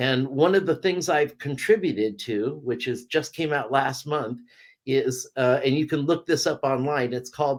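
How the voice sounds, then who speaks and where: A man with an American accent has an unremarkable speaking voice. His pitch is fairly high with ordinary variation, and his pace is fairly slow. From California. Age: 60s. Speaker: cannabis reviewer and author. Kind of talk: casual interview.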